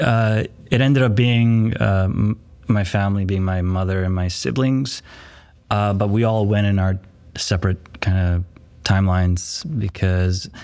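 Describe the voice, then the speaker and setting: A man's fairly low voice at a fairly slow pace, with ordinary pitch variation. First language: Yiddish. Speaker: actor. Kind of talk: interview conversation. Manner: hesitant, many fillers.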